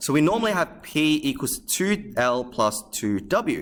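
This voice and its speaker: Music plays in the background as a man talks at a fairly high pitch with very wide pitch swings. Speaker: maths tutor. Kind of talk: lesson. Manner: fast; animated.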